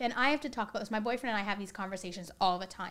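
A woman with a Canadian accent talks at a very fast pace. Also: very clean recording, silent background. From Canada, British Columbia (Coquitlam). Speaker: educator and equity coach. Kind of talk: casual interview.

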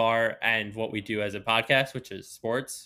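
In a very clean recording with a silent background, a man speaks at a moderate pace in a bright, sharp tone. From Long Island, New York. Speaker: sports podcast host. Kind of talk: casual chat.

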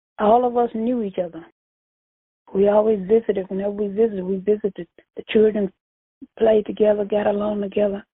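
In a Louisiana accent, the speaker moves at a fairly quick pace with flat, monotone intonation, broken by long, frequent pauses. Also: woman, medium pitch for a woman. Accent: Southern US (Louisiana). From US South, Louisiana. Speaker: churchgoer and family elder. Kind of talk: casual interview.

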